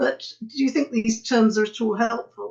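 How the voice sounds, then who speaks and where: Speaking with a British accent, a woman uses a fairly high pitch and ordinary pitch variation. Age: 80s+. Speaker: retired academic. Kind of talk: webinar talk. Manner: halting.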